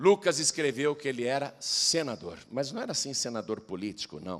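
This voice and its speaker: In a very clean recording with a silent background, a man speaks at a fairly slow pace, his pitch swinging very widely. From Brazil, Piracicaba (São Paulo interior). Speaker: pastor. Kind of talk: sermon.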